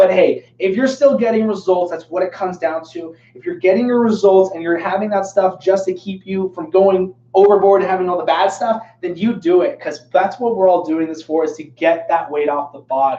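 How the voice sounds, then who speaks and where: A man's high voice with ordinary pitch variation, big swings in loudness, hardly any pauses and noticeable background noise. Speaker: fitness coach and personal trainer. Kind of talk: live Q&A stream. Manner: fast; casual, filler-heavy.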